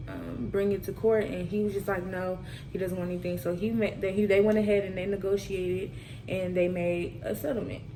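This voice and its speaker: Fairly even intonation comes at a fairly quick pace, with noticeable background noise and audible room echo. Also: woman, medium pitch for a woman. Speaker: student presenter. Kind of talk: class presentation. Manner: monotone.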